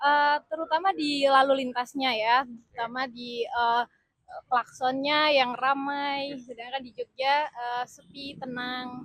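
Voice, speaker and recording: A woman with a Yogyakarta accent, high in pitch, at a very slow pace, with fairly even intonation and big swings in loudness. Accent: Javanese (Yogyakarta) accent, noticeable. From Indonesia, Yogyakarta (Bantul). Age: 20s. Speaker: government consultant. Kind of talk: street interview. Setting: outdoors near a train station. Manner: hesitant, many fillers; composed, authoritative.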